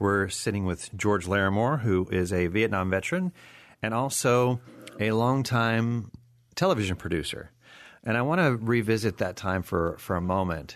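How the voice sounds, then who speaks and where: An ordinary speaking voice, this man's sits fairly low in pitch, with ordinary pitch variation, very even loudness and a moderate pace. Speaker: radio host. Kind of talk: interview. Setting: studio.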